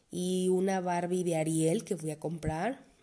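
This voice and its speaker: In a Mexican accent, the voice carries a dark, mellow tone with fairly even intonation. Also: woman. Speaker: podcast host. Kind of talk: monologue podcast.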